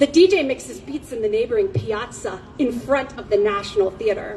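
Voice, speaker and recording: A woman's pitch leaps and dips very widely as she talks at a moderate pace against noticeable background noise. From Romanian-American. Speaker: poet. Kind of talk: poetry reading. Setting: outdoors.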